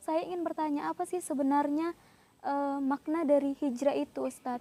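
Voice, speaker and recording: A woman speaks at a moderate pace in a high voice with a dark, mellow tone. Her intonation stays fairly even, and the sound is dry and close with no echo. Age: 20s. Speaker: university student. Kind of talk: interview questions. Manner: formal.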